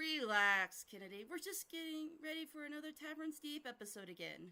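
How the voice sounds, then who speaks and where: A woman puts on a character voice, raised and projected, high in pitch and delivered at a fairly quick pace. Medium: read story.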